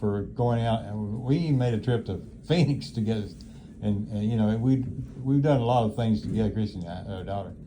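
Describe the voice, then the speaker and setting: Speaking at a moderate pace, a man with a medium-pitched voice sounds dark, mellow and somewhat breathy, with ordinary pitch variation. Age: 80s+. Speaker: nursing home resident. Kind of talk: casual chat. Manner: halting.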